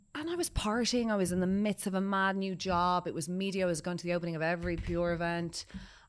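A woman with an Irish accent, very fast and with hardly any pauses, fairly even in intonation, in a very clean recording with a silent background. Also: fairly low pitch for a woman. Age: 30s. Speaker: podcast host. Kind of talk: casual chat. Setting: studio.

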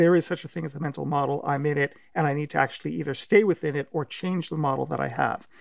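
A very fast-talking man, captured in a very clean recording against a silent background. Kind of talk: interview discussion.

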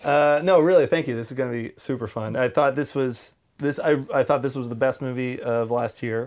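A man with an unremarkable speaking voice, medium in pitch, fairly quick with hardly any pauses and fairly even intonation. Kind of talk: casual chat.

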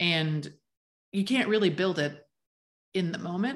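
The background is quiet as a woman speaks at a fairly slow pace. Her pitch is fairly low, with ordinary variation. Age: 30s. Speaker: birth center owner. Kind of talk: interview.

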